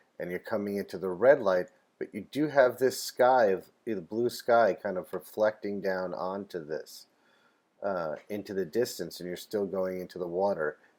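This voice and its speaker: A man speaks in a normal speaking voice at a fairly low pitch. His pace is moderate and his pitch variation ordinary. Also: big swings in loudness. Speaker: painting teacher. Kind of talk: art class lecture.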